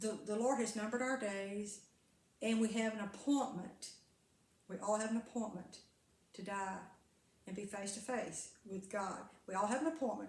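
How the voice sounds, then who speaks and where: Somewhat breathy and fairly high, a woman's voice moves at a moderate pace with ordinary pitch variation and long, frequent pauses, with room echo audible. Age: 70s. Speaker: carnivore diet vlogger and former preacher. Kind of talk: casual monologue vlog. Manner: rambling with frequent hesitations and repeats.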